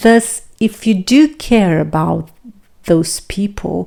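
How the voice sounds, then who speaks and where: A woman's medium-pitched, dark, mellow voice with a non-native accent, very slow, with ordinary pitch variation. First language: non-native English speaker. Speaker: self-improvement and relationship vlogger. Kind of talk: reflective talk to camera.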